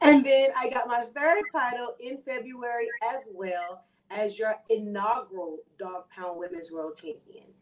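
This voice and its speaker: A woman's fairly high voice with an American accent, a fairly slow pace and big swings in loudness. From Texas, Houston. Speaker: professional wrestler. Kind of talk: casual interview; wrestling promo.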